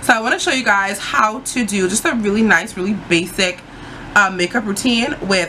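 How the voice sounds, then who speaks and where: Noticeable background noise sits under a woman's voice. She speaks at a moderate pace with medium pitch and ordinary pitch variation. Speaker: beauty vlogger. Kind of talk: tutorial. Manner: casual, lots of fillers.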